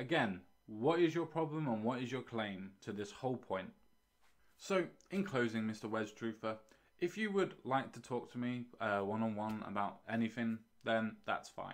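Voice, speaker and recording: With an English accent, a man talks at a moderate pace using lively intonation. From UK. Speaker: YouTube commentator. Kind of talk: response video, monologue reacting to a comment. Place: home room. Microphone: studio mic.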